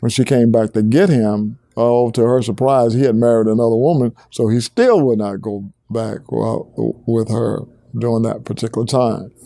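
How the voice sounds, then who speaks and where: On a very clean recording with a silent background, a man with a Southern US accent speaks at a moderate pace, with medium pitch, fairly even intonation and a dark, mellow tone. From Alabama. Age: 70s. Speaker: museum founder. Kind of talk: interview answer.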